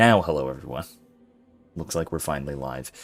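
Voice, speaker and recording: A quiet man's voice over background music. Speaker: professor streaming a game with philosophy talk. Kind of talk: casual live stream chat. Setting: live stream. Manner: quiet, low-pitched.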